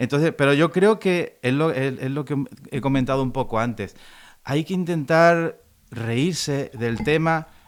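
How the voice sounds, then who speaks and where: Speaking with a Spanish accent, a man has a fairly high pitch and ordinary pitch variation. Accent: Spanish accent, imitated by Mexicans. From Andalusia, Spain. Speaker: classical guitarist. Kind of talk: interview conversation.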